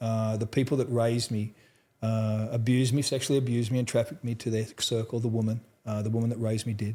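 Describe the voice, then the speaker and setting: In a very clean recording with a silent background, a man with an Australian accent talks at a very fast pace in a medium-pitched, somewhat breathy voice with a dark, mellow tone and a monotone, flat intonation. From central Australia. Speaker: trauma recovery expert. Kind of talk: interview testimony. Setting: live at a conference.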